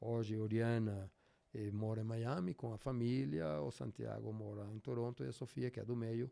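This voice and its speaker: With a Spanish accent, a man talks at a moderate pace in a fairly low pitch, his tone dark and mellow and his pitch variation ordinary. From Venezuela. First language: Spanish (speaking Portuguese). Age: 60s. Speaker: endurance athlete. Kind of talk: interview. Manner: halting.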